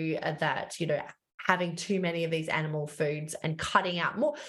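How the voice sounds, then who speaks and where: A woman with an Australian accent talks at a moderate pace, her pitch fairly low. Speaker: dietitian and author. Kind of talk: casual interview chat.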